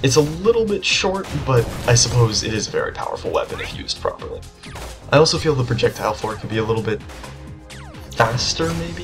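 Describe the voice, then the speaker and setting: A quiet, very fast delivery over music in the background. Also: man. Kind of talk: gameplay commentary. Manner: quiet, subdued.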